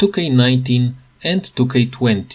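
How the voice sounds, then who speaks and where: A man speaks at a medium pitch with a non-native accent. His voice is somewhat breathy and his intonation is lively. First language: not English. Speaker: gaming tutorial youtuber. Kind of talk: tutorial.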